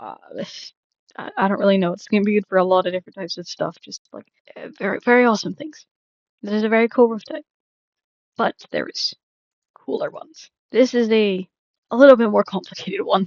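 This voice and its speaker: A woman with an American accent speaks at a fairly high pitch and a fairly quick pace, with long, frequent pauses, big swings in loudness and ordinary pitch variation. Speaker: Minecraft content creator. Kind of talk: casual tutorial rambling. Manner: fast; hesitant, many repetitions and fillers.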